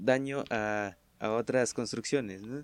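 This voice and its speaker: A man at a fairly slow pace, in a dry, close sound with no echo, on a very clean recording with a silent background. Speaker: podcast guest. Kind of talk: casual chat.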